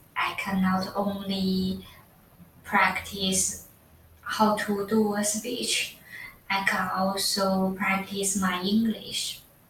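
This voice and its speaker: Noticeable background noise and audible room echo surround a woman. She speaks at a very slow pace in a monotone, flat intonation. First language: not English. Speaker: student. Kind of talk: class presentation. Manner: halting, many fillers.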